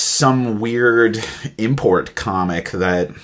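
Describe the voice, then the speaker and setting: In an American accent, a man speaks with lively intonation. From Alaska, US, after childhood in India. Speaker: podcast host. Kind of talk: casual interview.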